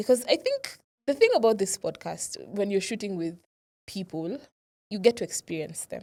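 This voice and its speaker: At a moderate pace and a medium pitch, a woman with a dark, mellow tone uses lively intonation, big swings in loudness, and long, frequent pauses. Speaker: podcast co-host. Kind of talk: casual chat.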